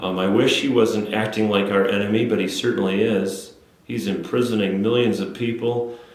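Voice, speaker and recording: In an Upper Midwest accent, a man talks at a moderate pace with fairly even intonation. Audible room echo and noticeable background noise surround him. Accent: Upper Midwest American. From Wisconsin, Menominee area. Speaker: city council member. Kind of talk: interview. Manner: halting, many fillers and repeats.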